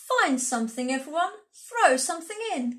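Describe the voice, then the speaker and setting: Putting on a character voice, a woman talks at a moderate pace with a high pitch. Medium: read story.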